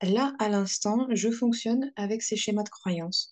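At a very slow pace, a woman speaks with lively intonation and a fairly high pitch. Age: 30s. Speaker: therapist. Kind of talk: interview. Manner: halting.

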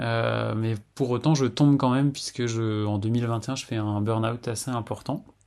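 A man talks at a medium pitch with fairly even intonation against a quiet background. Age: 40s. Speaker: testimony contributor, abuse survivor. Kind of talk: testimony. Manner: halting, with many fillers and repetitions.

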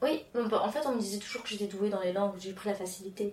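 Noticeable noise sits in the background. Over it, a woman speaks fairly quickly. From France and Mauritius. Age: 30s. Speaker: interview guest. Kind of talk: casual interview. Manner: halting, many fillers and repetitions.

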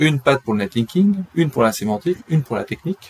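A man speaks with lively intonation at a fairly quick pace. His voice is somewhat breathy, with a dry, close sound and no echo. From France, raised partly in Brittany. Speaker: SEO agency co-founder. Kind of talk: interview.

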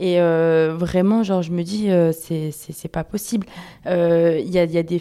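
A woman's dark, mellow voice, fairly low-pitched and monotone, at a fairly slow pace. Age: 20s. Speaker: university student, podcast interviewer. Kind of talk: casual group discussion.

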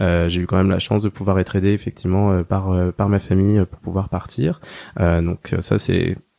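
Dry and close with no echo, a man's fairly low voice moves at a moderate pace with fairly even intonation. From rural France. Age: 30s. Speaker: veterinarian. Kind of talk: interview. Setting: small room at his clinic. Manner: hesitant, many fillers.

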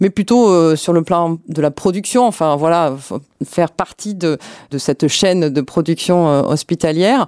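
Recorded very cleanly against a silent background with a dry, close sound and no echo, a woman with a fairly low pitch speaks at a fairly slow pace with ordinary pitch variation. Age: 50s. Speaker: hospital pharmacy department head. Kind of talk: interview. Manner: hesitant, many fillers.

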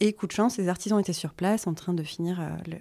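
A woman's dark, mellow voice at a medium pitch, fairly quick in pace with ordinary pitch variation, on a very clean recording with a silent background. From France, Vosges. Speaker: sustainable interior design school founder. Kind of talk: casual interview.

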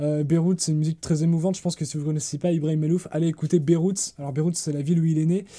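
Fairly high in pitch for a man, this voice has a dark, mellow tone and monotone, flat intonation, moving at a very fast pace with hardly any pauses. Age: 20s. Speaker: podcast host. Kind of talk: casual chat. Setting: remote recording.

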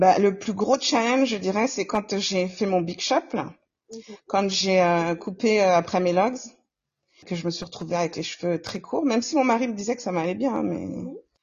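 A woman speaks at a medium pitch and a moderate pace, in a normal speaking voice. Her pitch variation is ordinary. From Comoros. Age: 40s. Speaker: nurse. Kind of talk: casual interview.

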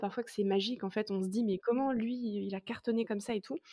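A woman talks at a fairly quick pace, her fairly high voice showing ordinary pitch variation. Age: 20s. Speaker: content creator. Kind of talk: interview. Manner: casual, hesitant with many fillers.

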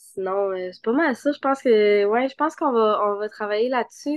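A woman speaks with a Quebec accent at a fairly slow pace. Her pitch is fairly high, with ordinary pitch variation. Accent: Québécois French. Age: 20s. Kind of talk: casual interview.

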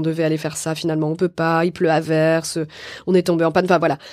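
This woman speaks at a fairly low pitch, and the recording is very clean with a silent background. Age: 40s. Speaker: actress and author. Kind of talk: casual chat. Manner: halting.

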